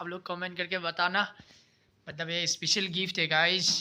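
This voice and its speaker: Raised and projected, a man's high-pitched voice carries a bright, sharp tone over monotone, flat intonation. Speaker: vlogger. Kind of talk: casual vlog. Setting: outdoors at night. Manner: halting, many fillers.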